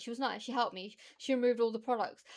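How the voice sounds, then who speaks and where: At a very fast pace, a woman talks in a fairly high pitch. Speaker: streamer reacting to videos. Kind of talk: casual chat. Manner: animated.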